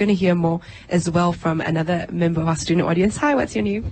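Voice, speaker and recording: Against noticeable background noise, a woman with a fairly low pitch speaks at a very fast pace. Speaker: radio host. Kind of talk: live radio panel show hosting.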